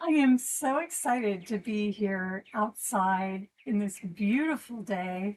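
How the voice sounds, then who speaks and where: Somewhat breathy and gentle in tone, a woman's fairly high voice moves with ordinary pitch variation. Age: 60s. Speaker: yoga instructor. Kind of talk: guided exercise class. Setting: outdoors on a deck.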